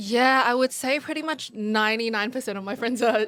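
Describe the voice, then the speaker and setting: A woman talks fairly quickly with an Australian accent. Noticeable background noise runs underneath. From Sydney, Australia (Hurstville). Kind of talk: casual interview.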